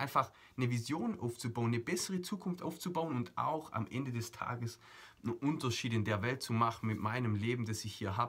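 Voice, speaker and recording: A man talks at a fairly quick pace and medium pitch. His intonation is lively. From Germany. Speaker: motivational coach. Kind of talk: motivational video monologue. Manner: animated.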